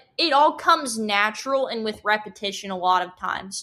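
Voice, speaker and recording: With a Texan accent, a woman talks at a moderate pace in a bright, sharp tone against a quiet background. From Texas (Hempstead). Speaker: collegiate livestock judge. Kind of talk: podcast interview.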